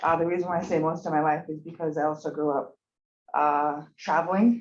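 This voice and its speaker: A woman speaks at a fairly quick pace. Her pitch sits fairly low for a woman. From Montana, Blackfeet reservation (Browning). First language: Blackfeet. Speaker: pre-med student. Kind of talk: presentation. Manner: hesitant, many fillers.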